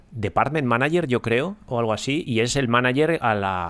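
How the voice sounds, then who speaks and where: In a very clean recording with a silent background, a man of medium pitch speaks at a moderate pace with very wide pitch swings. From Ponferrada, Spain. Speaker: podcast host. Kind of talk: casual chat. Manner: hesitant, many fillers.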